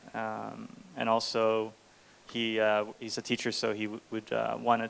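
The man's voice has a bright, sharp tone. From Sweden. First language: Swedish. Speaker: startup co-founder and CTO; speaker. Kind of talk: talk to audience. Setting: stage with audience. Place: hall. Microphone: handheld.

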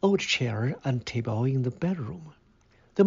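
Lively intonation in a natural reading voice

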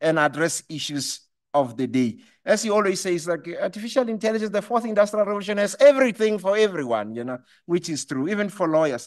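Pitch swings very widely as a man speaks at a very fast pace. The background is quiet. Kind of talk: formal speech. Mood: warm, appreciative. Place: hall. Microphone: podium.

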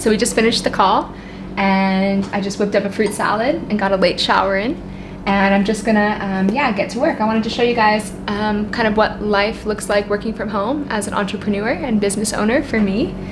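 A woman at a fairly quick pace with fairly even intonation, amid noticeable background noise. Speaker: entrepreneur vlogger. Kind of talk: casual vlog chat. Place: home room. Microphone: camera far.

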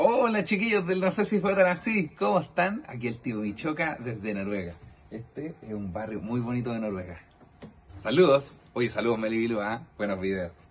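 Over light background noise, a man of medium pitch talks at a moderate pace with very wide pitch swings. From Chile. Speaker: podcast host and comedian; podcast host, comedian. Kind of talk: casual chat. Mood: cheerful, joking.

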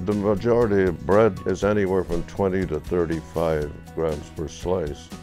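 Faint music plays behind a man whose very deep, low voice moves at a fairly slow pace with ordinary pitch variation. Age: 80s+. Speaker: elderly man sharing his diabetes routine. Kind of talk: casual talk to camera. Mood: calm, matter-of-fact. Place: home room. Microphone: lapel.

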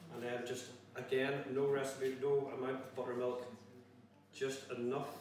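Strong room echo and noticeable background noise surround a man's voice. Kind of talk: tutorial. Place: kitchen. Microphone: camera far.

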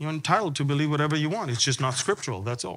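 The man's voice is fairly high in pitch, with a bright, sharp tone. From Israel (Jerusalem); Israel. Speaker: Bible teacher. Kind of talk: sermon. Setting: stage with audience. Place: church.

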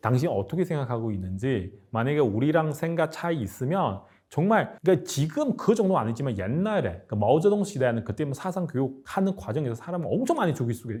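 In a Chinese accent, a man speaks very fast in a fairly high, somewhat breathy voice with a dark, mellow tone and very wide pitch swings. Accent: Chinese-accented Korean. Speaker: China expert guest. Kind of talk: explanatory commentary in interview.

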